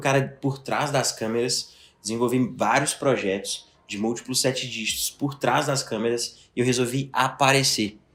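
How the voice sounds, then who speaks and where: A man speaks in a plain, everyday voice. His pace is moderate and his intonation fairly even. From Belo Horizonte, Brazil. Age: 20s. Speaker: digital marketing entrepreneur. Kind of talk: podcast interview.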